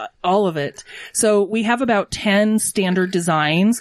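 This woman has an American accent. Her pitch varies in an ordinary way. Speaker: small business owner, dog bakery. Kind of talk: casual interview.

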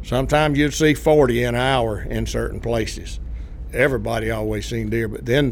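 A man with a Southern US accent speaks at a medium pace. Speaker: former civilian range worker. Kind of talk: interview.

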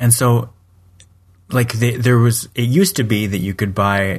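A man with a Canadian accent, somewhat breathy and fairly quick, with fairly even intonation against a quiet background. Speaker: podcast co-host. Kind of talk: casual chat.

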